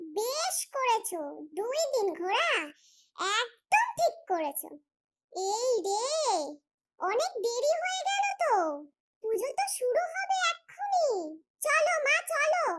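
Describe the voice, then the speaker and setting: A squeaky, cartoonish character voice pitched extremely high. It moves at a fairly slow pace. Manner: lively, familiar.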